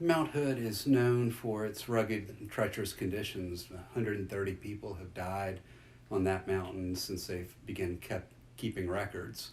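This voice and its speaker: A man with a fairly low voice speaks at a moderate pace with ordinary pitch variation. His voice is somewhat breathy. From US South, South Louisiana. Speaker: interviewee recounting family adventure. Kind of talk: interview storytelling.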